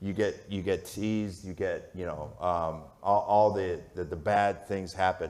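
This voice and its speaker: A booming voice with an American accent speaks at a fairly slow pace, with audible echo from the room. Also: man. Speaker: sports media executive. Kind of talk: onstage interview. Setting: stage with audience. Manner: loud.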